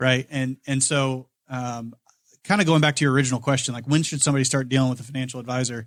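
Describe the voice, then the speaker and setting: A man with a Midwestern American accent speaks at a very fast pace and a medium pitch, with fairly even intonation. The recording is very clean, with a silent background. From Indiana, Kokomo. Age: 30s. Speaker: financial advisor. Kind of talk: casual podcast interview.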